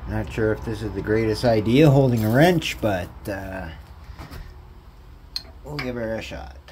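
A man with an ordinary speaking voice, fairly low pitch, a fairly slow pace and big swings in loudness, over light background noise. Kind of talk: tutorial. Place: garage. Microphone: phone near.

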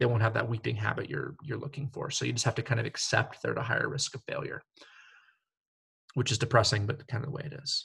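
A man's put-on character voice, raspy and medium-pitched, at a very fast pace. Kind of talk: lecture. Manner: talking faster and faster. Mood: wry, slightly resigned.

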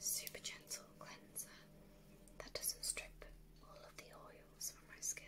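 A soft-spoken woman whispers at a fairly slow pace. Noticeable background noise sits behind her. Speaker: beauty vlogger. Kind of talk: casual product review chat. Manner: soft close whisper. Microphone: phone near.

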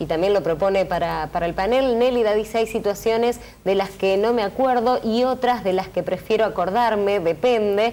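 At a moderate pace with hardly any pauses, a woman speaks in a dark, mellow tone at medium pitch with ordinary pitch variation. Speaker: TV co-host. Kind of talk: TV talk show. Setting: TV studio.

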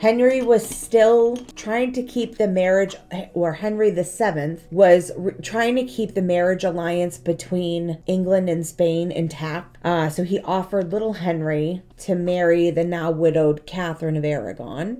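An unremarkable speaking voice with ordinary pitch variation at a fairly slow pace. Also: woman, fairly low pitch for a woman. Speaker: history vlogger. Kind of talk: casual history storytelling vlog. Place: home room. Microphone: phone near.

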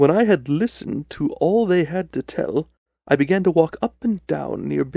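Someone reads in an unforced reading voice with lively intonation, and the background is quiet.

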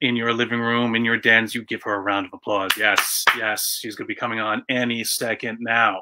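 A bright, sharp tone against a quiet background. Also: man. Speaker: web show host. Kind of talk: casual show intro. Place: office. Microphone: webcam.

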